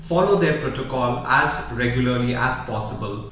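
Strong echo fills the room around a man speaking. His pace is moderate, and light background noise can be heard. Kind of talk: health advice talk to camera.

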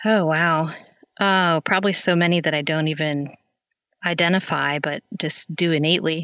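A woman with an American accent, fairly low in pitch with a bright, sharp tone, speaking at a moderate pace with fairly even intonation, on a very clean recording with a silent background. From central Pennsylvania (Lewisburg). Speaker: middle school band director. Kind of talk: podcast interview.

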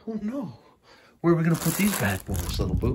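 A man's husky, rough voice at a fast pace.

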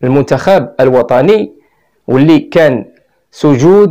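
A man with a Moroccan accent at a very slow pace. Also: quiet background. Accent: Moroccan Arabic (Darija). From Morocco. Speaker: YouTuber commentator. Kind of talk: video monologue. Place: studio. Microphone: lapel.

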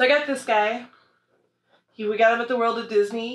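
With ordinary pitch variation, a woman speaks in a bright, sharp tone. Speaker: vlogger. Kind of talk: casual haul video chat. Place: home room. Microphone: camera far.

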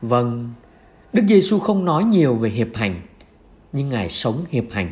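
A man speaks fairly slowly in a fairly high, somewhat breathy voice. His pitch swings very widely. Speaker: priest. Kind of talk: homily-style reflection on the Gospel.

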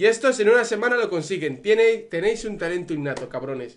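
A man's intonation is lively as he moves along at a moderate pace. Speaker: YouTuber reacting to music. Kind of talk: casual vlog chat. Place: home room. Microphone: earbuds.

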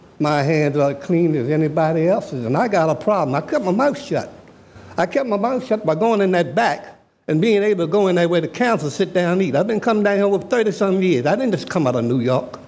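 A man at a very fast pace and high pitch, lively in intonation and very even in loudness, with audible room echo. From Richmond, Virginia (US South). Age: 70s. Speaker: public commenter at city council. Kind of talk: public comment speech. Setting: council chambers. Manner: animated.

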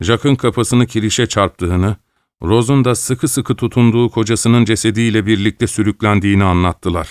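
A man with a plain, everyday voice, fairly low in pitch and fairly quick in pace, dry and close with no echo, on a very clean recording over a silent background. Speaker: voice actor. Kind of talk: audiobook narration.

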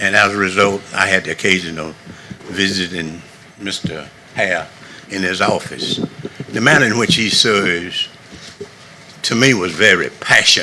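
Speaking at a moderate pace with a Southern US accent, a man with a fairly low voice varies his pitch in an ordinary way and takes long, frequent pauses, with audible room echo and noticeable background noise. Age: 70s. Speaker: navy veteran, public commenter. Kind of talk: public comment at council meeting. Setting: county council meeting.

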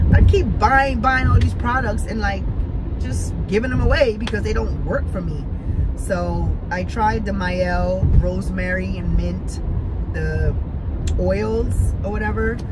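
Over loud background noise, a woman speaks with a dry sound and no echo. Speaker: vlogger. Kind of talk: casual vlog chat. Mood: playful, laughing. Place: car. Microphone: phone near.

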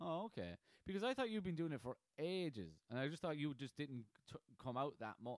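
The speaker has an Irish accent and a fairly quick pace. Pitch swings very widely, and the sound is dry and close with no echo. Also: man, fairly high pitch for a man. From Ireland, Carlow. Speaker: podcast host and aspiring comedian. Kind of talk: casual chat.

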